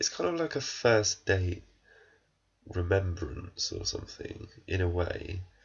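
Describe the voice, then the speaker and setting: At a fairly slow pace, the speaker's voice comes out somewhat breathy. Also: man. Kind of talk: casual talk to camera, film review rant.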